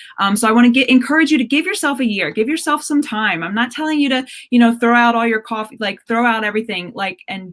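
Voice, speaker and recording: A woman's fairly high voice with ordinary pitch variation, an unremarkable speaking voice. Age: 40s. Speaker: health coach. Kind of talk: interview.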